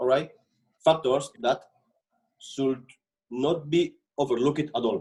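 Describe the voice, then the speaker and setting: A man with a strong non-native accent speaks at a fairly slow pace with long, frequent pauses, his fairly high voice dark and mellow in tone and fairly even in intonation. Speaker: panelist. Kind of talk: panel discussion. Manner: halting.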